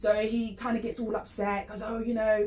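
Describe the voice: A woman talks at a moderate pace in a fairly high pitch. Her tone is slightly mellow, and her pitch moves little.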